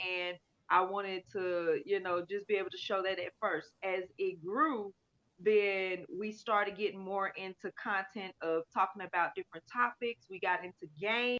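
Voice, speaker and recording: A woman's energetic, medium-pitched voice at a moderate pace, dry and close with no echo. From US South, Alabama. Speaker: livestreamer. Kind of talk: casual chat. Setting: livestream. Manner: loud.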